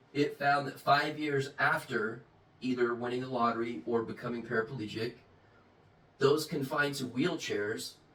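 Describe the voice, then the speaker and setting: At a moderate pace and a medium pitch, a man talks with ordinary pitch variation over noticeable background noise. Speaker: self-help channel host. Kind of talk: monologue. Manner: mild speech impediment, barely noticeable.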